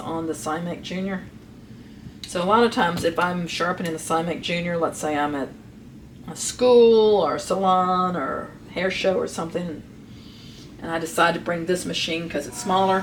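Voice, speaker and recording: A woman talks at a moderate pace in a fairly low pitch. Audible room echo and noticeable background noise surround her voice. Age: 60s. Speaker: master sharpener. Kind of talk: tutorial. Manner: casual, thinking aloud while working.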